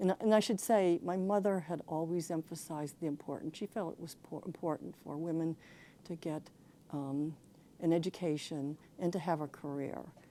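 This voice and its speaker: Fairly low-pitched with a dark, mellow tone, a woman with an American accent keeps a fairly even intonation while her loudness swings widely. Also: moderate pace. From western Pennsylvania. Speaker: retired judge. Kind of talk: oral history interview. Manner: halting, many fillers.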